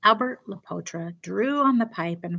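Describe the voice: Plainly read-aloud text, with a lively rise and fall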